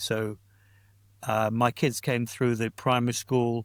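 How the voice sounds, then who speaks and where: An ordinary speaking voice moves at a moderate pace. The sound is dry and close with no echo, on a very clean recording with a silent background. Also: man. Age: 60s. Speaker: pastor and church planter. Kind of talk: casual interview chat.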